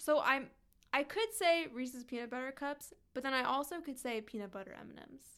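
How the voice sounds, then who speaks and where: With an American accent, a woman talks in a high voice, her intonation lively and her loudness swinging widely. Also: moderate pace. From Washington DC area. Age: 20s. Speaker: podcast co-host. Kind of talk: casual chat.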